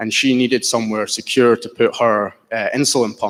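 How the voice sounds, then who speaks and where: A man with a Scottish accent speaks at a moderate pace and medium pitch. His intonation is monotone and flat, on a very clean recording with a silent background. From Scotland. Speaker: entrepreneur pitching a startup. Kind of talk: business pitch Q&A.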